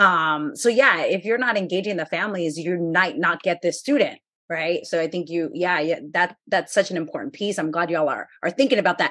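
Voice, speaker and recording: A woman with an ordinary speaking voice, fairly low pitch, lively intonation, a fairly quick pace and hardly any pauses. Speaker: podcast host and HSI researcher. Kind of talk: interview conversation.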